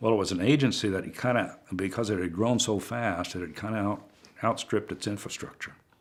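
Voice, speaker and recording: This man talks at a moderate pace with a Pacific Northwest accent. His pitch shows ordinary variation. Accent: Pacific Northwest American. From Pendleton, Oregon. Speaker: retired state government director. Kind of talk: oral history interview answer.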